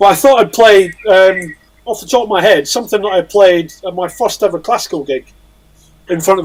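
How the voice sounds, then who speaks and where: Speaking with a Scottish accent, this man has a high pitch. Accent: Scottish drawl. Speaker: musician. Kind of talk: casual chat.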